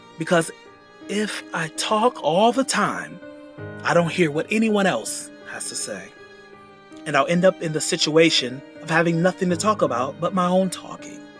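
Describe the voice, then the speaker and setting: Very wide pitch swings and big swings in loudness at a moderate pace, with long, frequent pauses and music in the background. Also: man, high pitch for a man. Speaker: voice actor. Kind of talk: philosophical narration. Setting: with background music.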